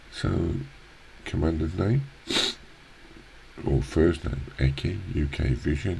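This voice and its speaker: Pitch varies in an ordinary way over noticeable background noise. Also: man. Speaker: gaming youtuber. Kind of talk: let's play commentary. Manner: halting, many fillers.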